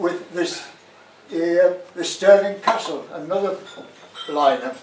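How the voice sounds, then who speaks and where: A man speaks at a fairly slow pace. The room echo is audible, with light background noise. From Sunderland, North East England. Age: 90s. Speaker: war veteran, former prisoner of war. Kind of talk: public talk to an audience. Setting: live venue, pub function room. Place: bar.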